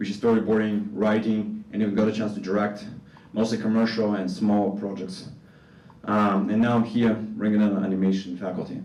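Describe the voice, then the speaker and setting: In an audibly echoing room, a man speaks with a Russian accent at a fairly low pitch. His tone is dark and mellow, his intonation fairly even, and his pace moderate. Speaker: animation faculty member. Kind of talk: conference presentation.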